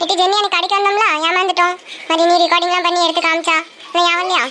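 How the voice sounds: A woman does a cartoonish character voice at an extremely high pitch, talking very fast in a flat monotone. Clear background noise runs underneath.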